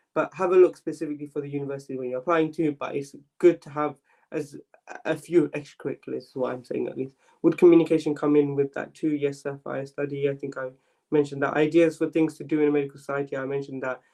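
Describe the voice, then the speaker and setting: Delivered at a very fast pace in a London accent, the speech stays monotone and flat while the loudness swings widely. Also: man, fairly high pitch for a man. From London, East London. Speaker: medical student mentor. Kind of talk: live Q&A stream. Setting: live stream. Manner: casual, filler-heavy.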